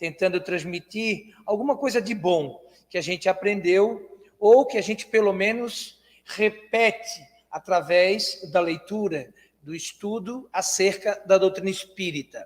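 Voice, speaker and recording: Speaking fairly slowly, the man has a high-pitched voice. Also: ordinary pitch variation. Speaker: spiritist lecturer. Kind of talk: lecture. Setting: spiritist centre hall with audience, livestreamed. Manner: soft-spoken.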